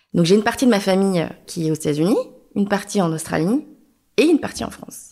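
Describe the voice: A woman's medium-pitched voice, dark and mellow in tone, with lively intonation and a fast pace.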